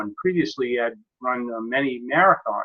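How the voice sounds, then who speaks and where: Speaking at a moderate pace, a man with a plain, everyday voice holds a fairly high pitch with ordinary pitch variation. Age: 60s. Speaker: software consultant and network marketer. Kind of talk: personal testimony in group web presentation.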